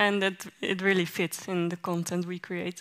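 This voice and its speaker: A woman speaks at a fairly slow pace with monotone, flat intonation. The background is quiet. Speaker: content creator; guest, content creator. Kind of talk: panel interview. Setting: stage with audience. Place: stage. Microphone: headset.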